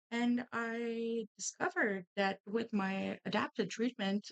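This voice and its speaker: Captured in a dry, close sound with no echo, a woman talks with fairly high pitch. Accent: Quebec. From Quebec, Canada. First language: French. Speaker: streamer and artist. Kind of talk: casual chat while crafting.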